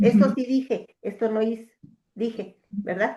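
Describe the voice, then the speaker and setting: Over a quiet background, a woman speaks at a fairly high pitch. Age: 60s. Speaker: coaching client. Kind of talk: coaching session conversation. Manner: hesitant, many fillers.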